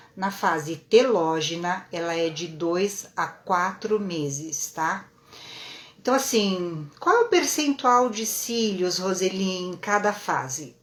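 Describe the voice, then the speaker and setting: Over noticeable background noise, a woman with a medium-pitched voice talks very slowly with lively intonation. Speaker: lash and brow technician teaching online. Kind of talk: live-stream lecture. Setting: live stream.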